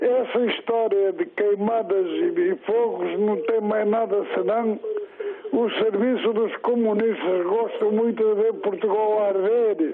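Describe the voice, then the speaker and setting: Amid noticeable background noise, a high-pitched man talks at a very slow pace with very even loudness and ordinary pitch variation. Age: old. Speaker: retired caller. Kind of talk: phone-in rant. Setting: phone call. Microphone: poor line, hard to understand.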